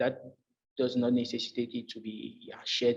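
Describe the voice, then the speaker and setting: With a French accent, a man talks at a moderate pace. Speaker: job candidate. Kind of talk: job interview. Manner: halting, many fillers.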